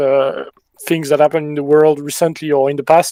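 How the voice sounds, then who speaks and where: The speaker has a French accent, a dark, mellow tone and monotone, flat intonation, with a dry, close sound that has no echo. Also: man. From France. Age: 20s. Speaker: milsim gamer, recent graduate. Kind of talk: podcast interview.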